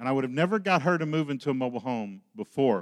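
At a fairly quick pace, a man uses a normal speaking voice with ordinary pitch variation, the sound dry and close with no echo on a very clean recording with a silent background. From Oklahoma. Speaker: ministry leader. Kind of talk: sermon.

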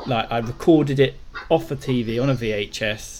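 Ordinary pitch variation in a British accent. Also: man. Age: 30s. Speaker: podcast co-host. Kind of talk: casual chat.

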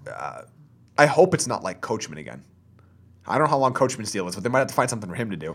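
A man speaks very fast at a medium pitch, with very wide pitch swings, big swings in loudness and vocal fry. Long, frequent pauses break up his speech over a very clean recording with a silent background. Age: 20s. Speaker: wrestling podcast co-host. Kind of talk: casual chat. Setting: studio.

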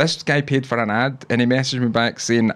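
In a Scottish accent, a man speaks at a moderate pace. The recording is very clean, with a silent background. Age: 30s. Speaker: podcast host. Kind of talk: casual chat, live stream. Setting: wearing headphones, live stream. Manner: jokey, crude humor.

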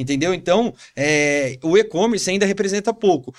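Speaking at a fairly quick pace, a man with a high-pitched voice shows ordinary pitch variation. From São Paulo, Brazil. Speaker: entrepreneur. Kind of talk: casual interview.

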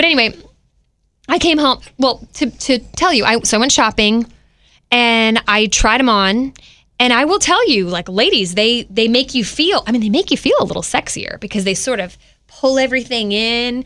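A woman's high-pitched, bright, sharp voice with an animated tone and lively intonation against a quiet background. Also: moderate pace. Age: 40s. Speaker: podcast host. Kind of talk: casual chat.

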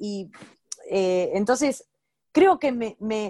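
Her voice is a woman's, fairly high in pitch with a dark, mellow tone. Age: 40s. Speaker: comedian and online video creator. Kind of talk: casual interview chat. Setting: remote call.

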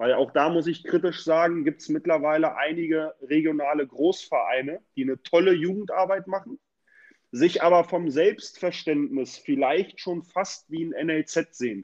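In a dry, close sound with no echo, a man with a high pitch speaks at a moderate pace, with ordinary pitch variation. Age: 30s. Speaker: youth football coordinator. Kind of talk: casual interview.

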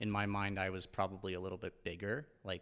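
Very deep, low male pitch in monotone, flat intonation, with a Canadian accent and a fairly quick pace. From Ontario, Canada (Port Elgin, Lake Huron). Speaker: fitness coach. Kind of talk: casual interview.

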